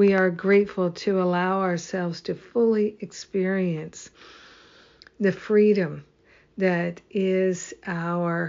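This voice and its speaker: A woman with an American accent speaks at a very slow pace and medium pitch, her intonation monotone and flat. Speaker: spiritual teacher leading daily prayer. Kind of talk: fervent affirmative prayer, repeated gratitude declarations building to triple amen. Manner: warm, rhythmic, incantatory, swelling with emphatic repetition; affectionate, laughs often, gushing.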